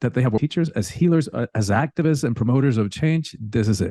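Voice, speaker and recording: This man's voice sits at a medium pitch with a dark, mellow tone and lively intonation. The sound is dry and close with no echo, over a quiet background. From Cuba, then rural Georgia and Miami, US. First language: Spanish. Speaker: spiritual teacher and coach. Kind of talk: interview conversation.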